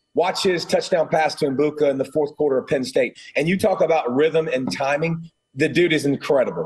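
In a Southern US accent, a man with a fairly high pitch speaks at a fairly quick pace in an animated tone, his loudness very even. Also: ordinary pitch variation. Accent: Southern US (Georgia). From US South, Georgia. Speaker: college football analyst, former player. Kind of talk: sports talk radio interview.

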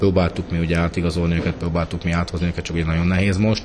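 Very fast and very deep in pitch, a man talks over noticeable background noise. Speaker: handball club manager and coach. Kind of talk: radio interview.

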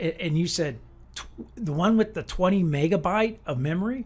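A man with an American accent, high-pitched, lively intonation, moderate pace. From US Midwest, Quad Cities, Illinois. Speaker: jazz piano educator and podcast host. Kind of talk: interview conversation. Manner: animated.

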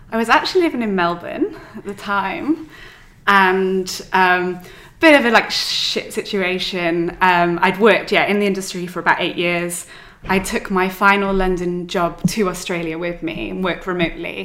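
With a Welsh accent, a woman talks at a moderate pace in a medium pitch and a bright, sharp tone. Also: ordinary pitch variation. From Wales. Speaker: stationery designer and business owner. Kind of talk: casual interview chat. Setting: in person recording.

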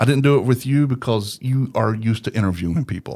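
A man speaks in a normal speaking voice at a medium pitch and moderate pace. The recording is very clean with a silent background, and his pitch varies an ordinary amount. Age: 50s. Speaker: podcast producer and voice actor. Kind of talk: casual interview chat. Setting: studio.

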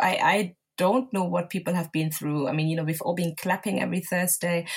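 Somewhat breathy, the voice races at a very fast pace with ordinary pitch variation. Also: woman. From southern Germany, Nigerian parents. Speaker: homeware brand owner. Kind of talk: casual interview.

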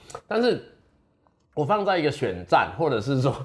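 Speaking at a moderate pace, a man's voice moves through very wide pitch swings. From Taiwan, Chiayi mountains. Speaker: legislator and lawyer. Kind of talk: interview. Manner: many fillers and hesitations.

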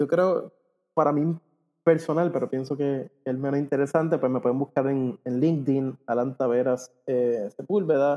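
An unremarkable speaking voice belongs to this man, pitched fairly high. His intonation is fairly even and his pace moderate. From Puerto Rico. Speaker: ecommerce company co-founder. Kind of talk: interview.

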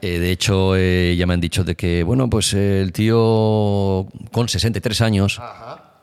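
A man speaks at a very slow pace with a fairly low pitch. His intonation stays fairly even. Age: 40s. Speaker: skater and DJ. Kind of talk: casual chat. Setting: garage. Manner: halting.

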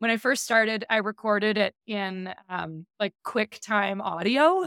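Recorded very cleanly with a silent background and a dry, close sound with no echo, a woman speaks at medium pitch and a fairly slow pace. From Canada. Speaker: email marketing strategist. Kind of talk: interview. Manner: loud.

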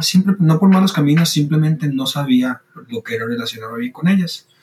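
A man's fairly high-pitched voice, an ordinary speaking voice. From Costa Rica. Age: 20s. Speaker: student and logistics worker sharing faith story. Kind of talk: testimony.

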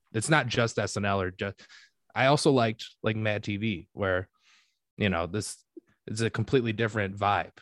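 With a Michigan accent and a fairly low pitch, a man speaks at a moderate pace with ordinary pitch variation and long, frequent pauses, the sound dry and close with no echo against a quiet background. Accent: US Midwest (Michigan). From Michigan (Detroit). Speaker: comedian and podcaster. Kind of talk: casual chat.

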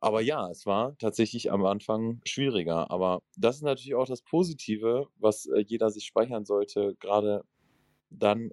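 Heard in a dry, close sound with no echo, a man with an unremarkable speaking voice talks at a moderate pace with a fairly low pitch and ordinary pitch variation. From northern Germany. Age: 20s. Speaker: recovering gambling addict. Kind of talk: self-help group conversation.

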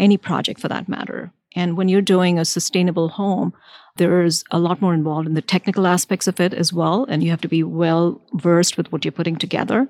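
A woman's fairly low voice at a very fast pace, with ordinary pitch variation, dry and close with no echo, in a very clean recording with a silent background. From India. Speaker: architect. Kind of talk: live interview at a conference. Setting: conference venue, recorded live.

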